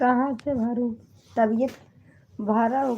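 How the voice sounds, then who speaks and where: This woman has a high pitch and a dark, mellow tone. She speaks at a very slow pace in a monotone, flat intonation. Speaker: comedy video creator. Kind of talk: casual chat. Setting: livestream.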